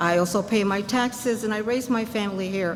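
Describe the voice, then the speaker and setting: A woman speaks at a moderate pace with a fairly high pitch and fairly even intonation. Audible room echo and noticeable background noise are present. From Puerto Rico. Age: 80s+. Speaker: senior resident speaking at public meeting. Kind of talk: public comment at community meeting.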